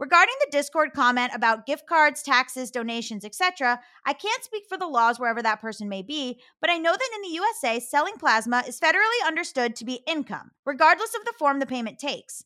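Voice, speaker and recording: A woman's high, bright, sharp voice, raised and projected, racing along very fast with hardly any pauses and very wide pitch swings, on a very clean recording with a silent background. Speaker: podcast co-host. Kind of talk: casual chat. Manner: animated.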